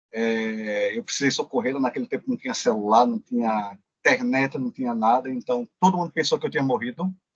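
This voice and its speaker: With a Pernambuco accent, a man speaks at a medium pitch and fairly quick pace with ordinary pitch variation and hardly any pauses, in a dry, close sound with no echo. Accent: Pernambuco accent, marked. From Pernambuco, Brazil. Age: 40s. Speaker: occupational safety engineer. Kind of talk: interview.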